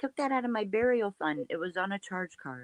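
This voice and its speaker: With an Ohio accent, a woman speaks in a bright, sharp tone, the sound dry and close with no echo. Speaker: true crime commentary host. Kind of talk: casual chat. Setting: live stream.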